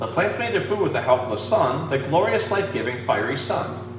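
A man talks at a fairly quick pace. Background noise is clearly audible.

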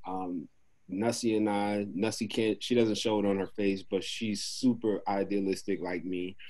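A man with a New York accent speaks at a moderate pace in a dark, mellow tone, his fairly low voice monotone and flat against a quiet background. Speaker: podcast co-host. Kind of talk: casual interview chat. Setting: video call. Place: home room. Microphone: video call.

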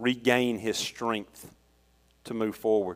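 With a Southern US accent, a man talks fairly slowly at a medium pitch, his intonation fairly even and the sound dry and close with no echo. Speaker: lay preacher and youth leader. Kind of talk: sermon. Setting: church.

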